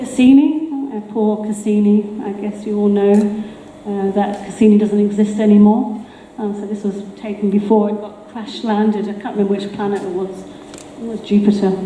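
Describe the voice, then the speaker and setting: A woman speaks at a medium pitch in a monotone, flat way, with big swings in loudness. Noticeable background noise and audible room echo fill the recording. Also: moderate pace. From Australia. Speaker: artist and engineer giving a talk. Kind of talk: public talk with audio demonstrations. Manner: casual, hesitant with fillers.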